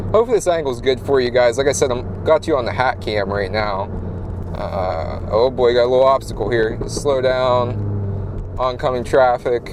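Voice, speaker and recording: This man's voice sits at a medium pitch. There's noticeable background noise under it. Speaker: car vlogger. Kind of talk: casual POV driving vlog. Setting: in a car. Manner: loud.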